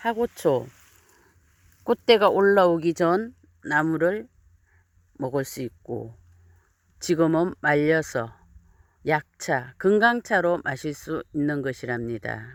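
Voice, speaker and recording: Speaking at a very slow pace with long, frequent pauses, a woman uses a very deep, low pitch with very wide pitch swings, on a very clean recording with a silent background and a dry, close sound with no echo. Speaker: mountain farmer and herb video creator. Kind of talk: outdoor herbal tutorial. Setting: outdoors on a hillside.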